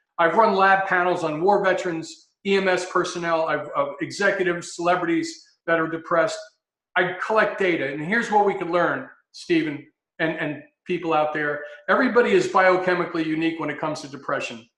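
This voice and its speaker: A man's high-pitched voice has a bright, sharp tone. He talks at a fairly quick pace amid audible room echo. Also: ordinary pitch variation. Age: 60s. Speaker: health consultant, former paramedic. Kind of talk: interview talk.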